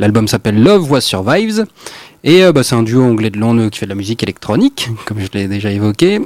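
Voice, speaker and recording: A man with an unremarkable speaking voice talks at a fairly quick pace and medium pitch, with lively intonation and a dry, close sound with no echo. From Amiens, Picardy, France. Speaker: radio host. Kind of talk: casual radio music show.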